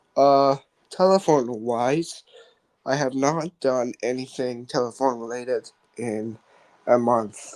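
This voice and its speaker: Quiet and very slow, a man speaks at a medium pitch with a dark, mellow tone. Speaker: radio show host. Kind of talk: casual radio talk.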